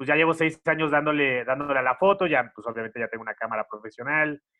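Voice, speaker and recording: A man at a fairly quick pace. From Mexico, Xalapa, Veracruz. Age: 30s. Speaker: content creator. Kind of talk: casual interview.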